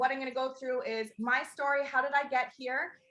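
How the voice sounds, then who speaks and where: A woman speaks in a high pitch with a raised, projected voice. Her tone is animated, bright, and sharp. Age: 30s. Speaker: network marketing recruiter. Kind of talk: sales pitch. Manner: fast.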